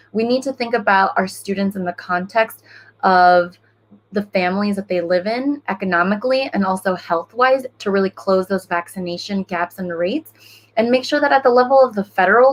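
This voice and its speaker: In a dry, close sound with no echo, a woman speaks at a fairly quick pace with lively intonation. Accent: Spanish. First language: Spanish. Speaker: school board member, former teacher. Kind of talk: panel discussion. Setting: online livestream panel.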